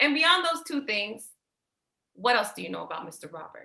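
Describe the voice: Using a put-on character voice, a woman speaks at a medium pitch and moderate pace with a bright, sharp tone, vocal fry and big pitch swings.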